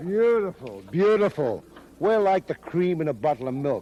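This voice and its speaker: A man's high-pitched voice with lively intonation at a moderate pace. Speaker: pro wrestling manager. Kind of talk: wrestling promo. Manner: bombastic, verbose.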